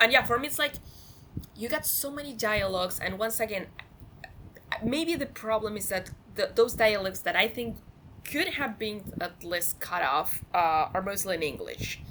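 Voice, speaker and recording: A woman's fairly high voice with a non-native accent, lively intonation, a moderate pace, long and frequent pauses, and noticeable background noise. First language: not English. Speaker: film podcast guest. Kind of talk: casual chat. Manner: halting, repeats words.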